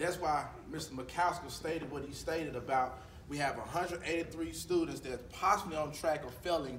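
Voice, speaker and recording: A man's fairly high voice at a moderate pace, with audible room echo and noticeable background noise. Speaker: school counselor. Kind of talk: school presentation to students. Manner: loud. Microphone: speaks without a microphone.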